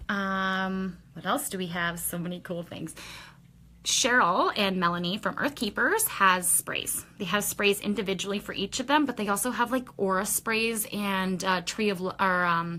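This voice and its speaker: At a moderate pace and medium pitch, a woman talks with ordinary pitch variation in a normal speaking voice. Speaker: shop owner presenting products in a weekly video. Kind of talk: casual product walkthrough livestream.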